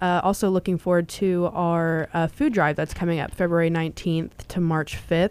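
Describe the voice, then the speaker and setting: A woman's normal speaking voice, fairly low in pitch, fairly even in intonation, at a fairly quick pace. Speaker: podcast co-host. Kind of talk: scripted intro and casual chat.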